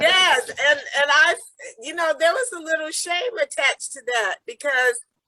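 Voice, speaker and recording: Extremely high in pitch, a woman's raised, projected voice carries an American accent and a bright, sharp tone. The sound is dry and close, with no echo. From US. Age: 60s. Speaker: peace activist. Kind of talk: interview. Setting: video call.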